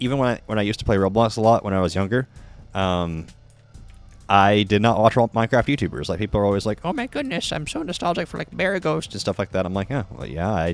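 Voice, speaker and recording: A man with an American accent talks very fast in a fairly low voice with lively intonation, music playing behind him. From Texas. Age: 20s. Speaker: streamer. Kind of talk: casual chat. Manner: occasional stutter.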